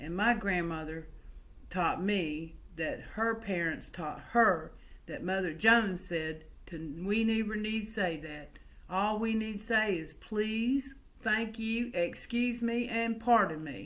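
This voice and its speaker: Speech comes at a very slow pace with ordinary pitch variation. Audible room echo surrounds it. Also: woman, fairly high pitch for a woman. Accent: slight Southern US. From West Virginia coalfields, then US South from age six. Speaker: storyteller. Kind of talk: oral family storytelling. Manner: folksy, conversational.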